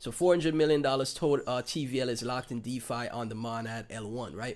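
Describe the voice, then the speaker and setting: The recording is very clean, with a silent background. A man speaks at a fairly quick pace in a Caribbean accent. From Saint Kitts and Nevis (Caribbean). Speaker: crypto livestreamer. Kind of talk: casual livestream commentary. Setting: livestream with chat.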